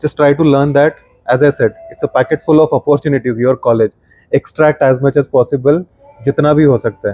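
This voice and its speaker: Music plays behind a man who speaks fairly quickly at a fairly high pitch, his intonation fairly even. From India, Maharashtra. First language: Marathi. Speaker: product designer and design teacher. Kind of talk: podcast interview.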